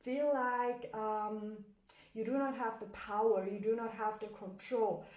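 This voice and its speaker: Speaking at a fairly slow pace, a woman with a fairly high pitch keeps her intonation fairly even, with audible room echo. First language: German. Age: 20s. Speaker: motivational coach. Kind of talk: motivational talk. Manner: hesitant, many fillers.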